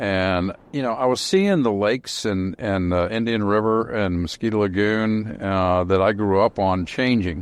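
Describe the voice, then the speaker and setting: With an American accent and an ordinary speaking voice, the speaker talks at a moderate pace with ordinary pitch variation over a quiet background. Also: man, fairly low pitch for a man, hardly any pauses. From Central Florida. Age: 60s. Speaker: boat company owner. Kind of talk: podcast interview. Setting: podcast.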